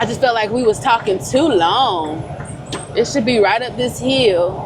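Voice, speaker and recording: A woman with a fairly high voice talks at a moderate tempo while noticeable noise carries on in the background. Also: lively intonation. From Georgia, US South. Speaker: truck driver vlogger. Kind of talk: casual vlog talk to camera. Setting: in a truck cab. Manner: loud.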